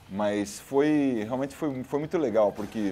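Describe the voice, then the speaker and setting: A man at a fairly slow pace with ordinary pitch variation, music in the background. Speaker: singer. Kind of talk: casual interview. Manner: halting, many repetitions.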